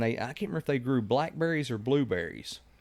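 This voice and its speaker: In a Kentucky accent, a man talks at a very fast pace with ordinary pitch variation, the recording very clean with a silent background. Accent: southern US (Kentucky). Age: 40s. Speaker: podcast host. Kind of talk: casual chat.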